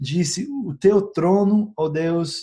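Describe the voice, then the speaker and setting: Speaking here is a man. His words come in an English accent. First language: English (speaking Portuguese). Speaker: essential oils educator, YouTuber. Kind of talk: informal educational talk to camera. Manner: hesitant, many filler sounds.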